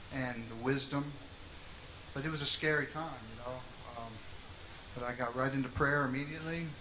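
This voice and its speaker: There is noticeable background noise behind a man. He talks at a moderate pace with ordinary pitch variation. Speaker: interview guest. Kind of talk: interview answer. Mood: earnest, reflective testimony. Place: stage. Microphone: handheld.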